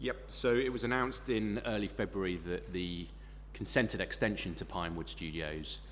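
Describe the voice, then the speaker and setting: A man with a British accent talks at a moderate pace in a very deep, low pitch. His voice shows vocal fry and very wide pitch swings. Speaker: expert witness. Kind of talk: witness testimony. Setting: planning inquiry hearing.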